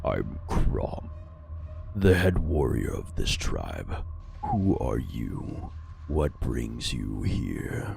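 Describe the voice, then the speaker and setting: Over clear background noise, a man puts on a character voice with a very deep, low pitch, speaking at a very slow pace. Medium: game stream. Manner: gruff, scornful.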